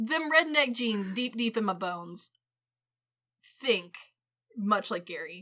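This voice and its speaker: With an American accent, the speaker's tone comes across bright and sharp. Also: woman. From US Midwest, Missouri (Ozarks family). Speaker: podcast co-host. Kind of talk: casual chat. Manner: animated.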